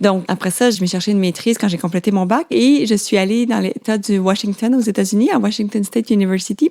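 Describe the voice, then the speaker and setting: A woman with a medium pitch and a dark, mellow tone talks at a fairly quick pace. Her loudness stays very even, with ordinary pitch variation. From Quebec, Laurentides. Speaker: biologist. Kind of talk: interview. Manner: halting, many fillers.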